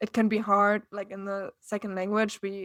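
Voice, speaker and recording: In a strong German accent, a woman of medium pitch speaks with monotone, flat intonation, recorded very cleanly against a silent background with a dry, close sound and no echo. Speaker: TV news reporter. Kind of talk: interview.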